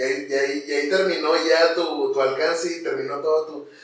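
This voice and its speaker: A man talks with audible room echo around him. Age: 20s. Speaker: content creator and comedian. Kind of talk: interview.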